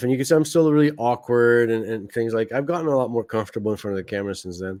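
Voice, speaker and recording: This man's voice sits at a medium pitch and shows ordinary pitch variation. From Quebec. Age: 40s. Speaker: podcast host. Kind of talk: casual monologue commentary.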